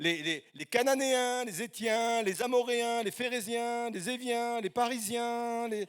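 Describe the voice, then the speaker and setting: An extremely high-pitched male voice at a very slow pace, with ordinary pitch variation and hardly any pauses. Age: 50s. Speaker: guest preacher. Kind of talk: sermon. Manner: halting.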